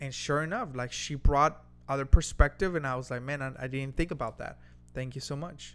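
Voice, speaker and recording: A man with a fairly high pitch, a fairly quick pace and fairly even intonation, music in the background. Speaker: podcast co-host. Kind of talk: casual conversational podcast.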